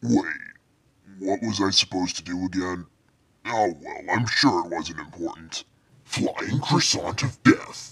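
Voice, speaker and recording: A man speaks at a fairly slow pace with a fairly low pitch. He leaves long, frequent pauses. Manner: cocky, laughing.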